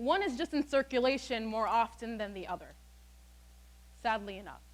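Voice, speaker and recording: A woman speaks in an animated tone at a moderate pace. Her loudness swings widely while her pitch variation stays ordinary. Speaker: student speaker. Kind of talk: TED-style talk. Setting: stage with audience.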